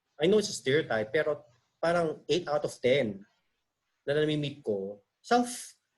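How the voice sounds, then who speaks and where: Somewhat breathy and fairly high in pitch, a man's voice rises and falls in very wide swings. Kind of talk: casual talk on video call. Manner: talkative, chatty; conyo Taglish, changing styles.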